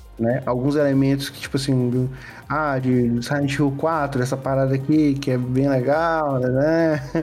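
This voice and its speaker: There is music in the background and audible room echo. A man speaks fairly slowly in a fairly high pitch with monotone, flat intonation. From Piauí, Brazil (Piripiri). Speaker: game developer. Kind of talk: casual interview chat.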